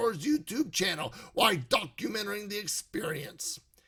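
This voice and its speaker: In a put-on character voice, a man speaks raspily at a moderate pace. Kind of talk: horror movie review narration. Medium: solo performance. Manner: scripted, dramatic storytelling.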